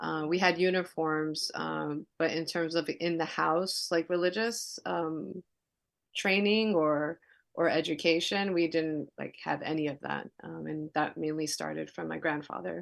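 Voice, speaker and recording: A woman with an American accent speaking at a fairly slow pace against a quiet background. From New York City (Queens). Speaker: nonprofit worker and convert to Judaism. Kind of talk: interview. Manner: halting, many fillers.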